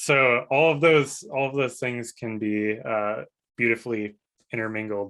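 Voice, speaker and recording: A man talks fairly slowly, his pitch varying in an ordinary way, with a quiet background behind him. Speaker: developer advocate. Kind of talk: live Q&A panel. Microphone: video call.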